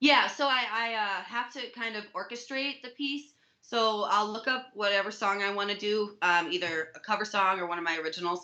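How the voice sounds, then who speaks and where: Loud and energetic, a woman with a bright, sharp tone and fairly high pitch speaks at a moderate pace with ordinary pitch variation and hardly any pauses. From US Midwest, Milwaukee, Wisconsin. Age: young. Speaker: music teacher and musician. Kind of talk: interview.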